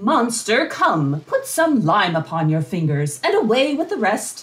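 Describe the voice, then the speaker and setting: A put-on character voice, fairly high in pitch, with very wide pitch swings. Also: moderate pace. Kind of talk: Shakespearean comic acting. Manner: silly, excitable.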